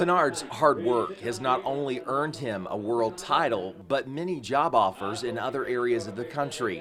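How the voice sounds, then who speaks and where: Speaking at a fairly slow pace, a man uses medium pitch and lively intonation. Background noise is noticeable. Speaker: TV news reporter. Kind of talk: TV news feature narration.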